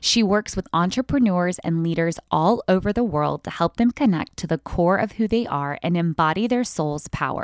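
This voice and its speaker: On a very clean recording with a silent background, a woman speaks at a moderate pace with medium pitch. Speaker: podcast host and empowerment coach. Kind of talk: casual interview chat. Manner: animated.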